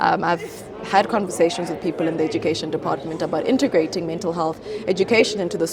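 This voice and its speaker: Crowd noise fills the background as a woman with a fairly low pitch talks at a very fast pace, her pitch varying in an ordinary way. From South Africa, Limpopo. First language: Venda. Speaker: model, beauty pageant titleholder, mental health advocate. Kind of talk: interview answer.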